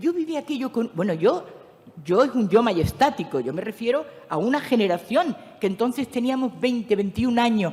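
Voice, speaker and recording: At a moderate pace, a woman speaks with a fairly high pitch and very wide pitch swings. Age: 70s. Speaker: philosopher and speaker on spirituality. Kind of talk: lecture. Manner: animated.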